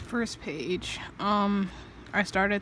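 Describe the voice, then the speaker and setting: A woman speaks quietly at a medium pitch. Her intonation is monotone and flat. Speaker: artist vlogger. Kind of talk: casual chat. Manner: hesitant.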